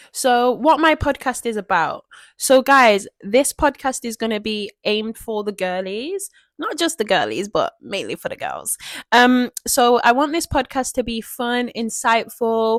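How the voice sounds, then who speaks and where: A woman with a Mancunian accent speaks loudly and at a fairly slow pace, her pitch high and her intonation lively. Her tone is animated, the sound dry and close with no echo, and the recording very clean over a silent background. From Manchester, northern England. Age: 20s. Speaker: podcast host. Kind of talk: casual podcast monologue.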